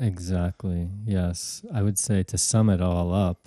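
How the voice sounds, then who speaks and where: A man with an American accent speaks in a very deep, low pitch with a dark, mellow tone. The sound is dry and close with no echo, against a quiet background. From US, Brooklyn, New York. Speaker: professor and spiritual teacher. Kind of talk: interview.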